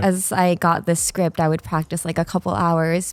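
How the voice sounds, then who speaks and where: With music in the background, a woman with an American accent speaks at a moderate pace and a fairly low pitch, in a dry, close sound with no echo. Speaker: voice actor. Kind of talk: casual podcast conversation.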